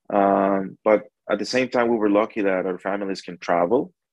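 With a Spanish accent, the speaker talks at a moderate pace and with fairly even intonation. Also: man. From El Salvador, near San Salvador. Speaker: barbecue restaurant owner and pitmaster. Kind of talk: interview.

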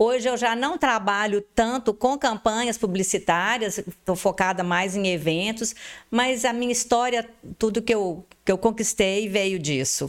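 Using an ordinary speaking voice, a woman talks at a fairly slow pace and a fairly high pitch with ordinary pitch variation. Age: 50s. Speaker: advertising and events entrepreneur. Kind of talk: interview.

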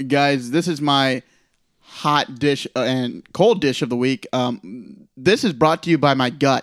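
The recording is a dry, close sound with no echo, as a man with a plain, everyday voice speaks at a fairly slow pace and fairly high pitch. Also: ordinary pitch variation. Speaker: fantasy league commissioner. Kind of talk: casual chat.

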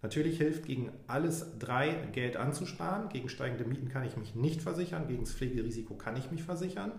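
Amid noticeable background noise and audible room echo, a man with a fairly high pitch speaks at a fairly quick pace with lively intonation. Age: 40s. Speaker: insurance broker. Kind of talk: expert advice in interview.

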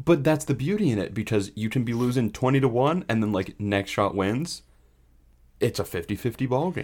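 A man with an unremarkable speaking voice, lively intonation, and a fairly quick pace, in a very clean recording with a silent background. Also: medium pitch for a man. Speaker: podcast co-host. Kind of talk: casual chat about baseball. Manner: laid-back, joking.

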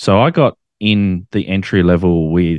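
Against a quiet background, a man with an Australian accent talks in a very deep, low pitch with fairly even intonation, the sound dry and close with no echo. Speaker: ham radio operator and YouTuber. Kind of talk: casual interview chat.

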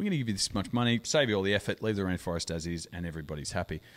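At a very fast pace and with lively intonation, a man talks in a very clean recording with a silent background. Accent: Australian. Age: 40s. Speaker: podcast host. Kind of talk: casual chat.

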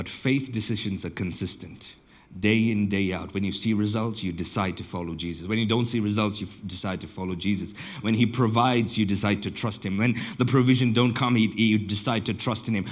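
Amid audible room echo, a man with a fairly low pitch talks at a fairly quick pace with fairly even intonation. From southern Botswana. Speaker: pastor. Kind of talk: sermon.

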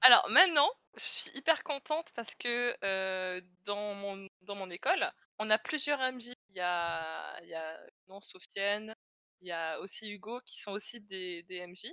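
A woman speaks at a medium pitch with a bright, sharp tone and lively intonation, her loudness swinging widely. The pace is fairly slow, and the sound is dry and close with no echo. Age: 20s. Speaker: illustration student and role-player. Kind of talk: casual interview chat.

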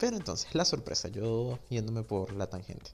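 A man talks at a moderate speed. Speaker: podcast host. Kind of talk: casual solo monologue. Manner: informal, unstructured.

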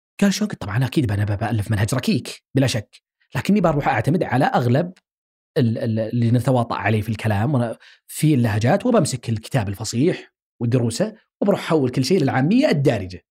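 The voice is somewhat breathy, with a dark, mellow tone. It moves at a moderate pace with lively intonation. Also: man, medium pitch for a man. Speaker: linguistics researcher and academic. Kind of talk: interview conversation.

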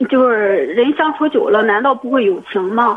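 With a high pitch, a woman speaks at a very slow pace. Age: 20s. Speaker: caller. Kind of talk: call-in advice conversation. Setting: phone call. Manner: halting, repetitive.

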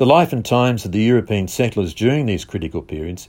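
A man's fairly low voice with an Australian accent, fairly quick in pace, on a very clean recording with a silent background. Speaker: visitor centre promoter. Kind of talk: scripted narration.

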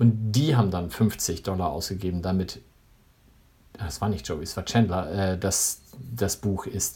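This man's voice is very deep and low, somewhat breathy, with a dark, mellow tone. He pauses long and often. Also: ordinary pitch variation. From northern Germany. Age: 40s. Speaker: podcast co-host. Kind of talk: casual chat.

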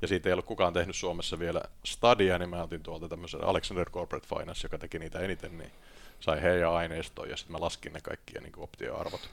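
A man rushes along at a very fast pace, his loudness swinging widely. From Finland, Tampere. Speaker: investment banker and author. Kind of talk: podcast interview. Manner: hesitant, many fillers.

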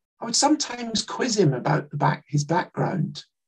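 In a Scottish accent, the speaker talks at a moderate pace with a somewhat breathy voice. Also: man. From Scotland, Glasgow. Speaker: writer and Holocaust educator. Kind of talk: talk with slides.

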